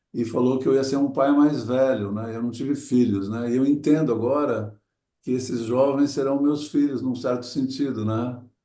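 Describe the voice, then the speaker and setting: At a medium pitch, a man speaks with a dark, mellow tone and fairly even intonation at a moderate pace, with audible room echo. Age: 60s. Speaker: adventurer and motivational speaker. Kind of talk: talk to an audience. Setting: talk before a group. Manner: reflective, with hesitations.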